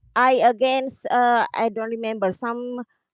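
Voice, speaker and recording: A high-pitched woman at a moderate pace, in a dry, close recording with no echo. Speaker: support staff member of a game company. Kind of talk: video call town hall interview. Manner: enthusiastic; halting, many fillers.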